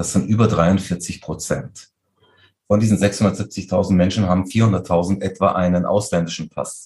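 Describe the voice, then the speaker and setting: A man talks at a fairly slow pace, his pitch very deep and low. His voice is somewhat breathy, with fairly even intonation. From Munich, Bavaria (Turkish family). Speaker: interfaith community organizer. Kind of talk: interview.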